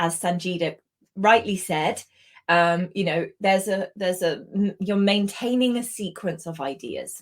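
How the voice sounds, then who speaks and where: With a British accent, the speaker talks at a fairly slow pace using lively intonation. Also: woman. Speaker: English language instructor. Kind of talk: online lesson.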